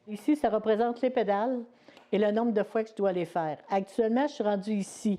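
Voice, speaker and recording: Her pitch fairly high and its variation ordinary, a woman speaks at a moderate pace. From Quebec, Lotbinière region. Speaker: weaver, artisan. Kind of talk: explanatory interview. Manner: hesitant, many filler words.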